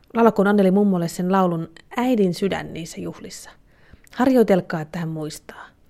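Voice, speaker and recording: With a dark, mellow tone, a woman speaks at a medium pitch and ordinary pitch variation. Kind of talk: literary letter reading, mother's letter read aloud. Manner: earnest, gently yearning, measured and sentimental.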